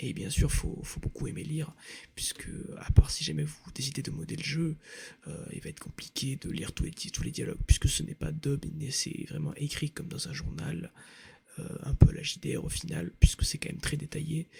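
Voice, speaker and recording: A man whispering, with big swings in loudness. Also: moderate pace. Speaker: ASMR creator. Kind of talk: rambling casual talk to camera, ASMR. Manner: soft-spoken, hesitant with many fillers.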